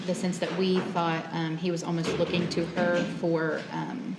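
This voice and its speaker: Quiet and monotone, a woman speaks in a fairly low pitch with flat intonation, with noticeable background noise and audible room echo. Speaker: nurse, trial witness. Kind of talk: testimony. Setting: courtroom. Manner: quiet, hard to hear; hesitant, many ums.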